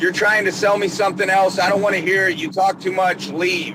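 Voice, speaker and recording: Over noticeable background noise, a man with an American accent uses a raised, projected voice at a high pitch. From Georgia and Pennsylvania. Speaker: plumber. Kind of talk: casual interview chat. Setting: in a car, stuck in traffic. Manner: talkative.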